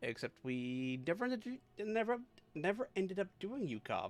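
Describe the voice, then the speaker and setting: Music plays in the background behind a man with a high pitch. His pitch swings very widely. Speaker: vtuber streamer. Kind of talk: casual chat.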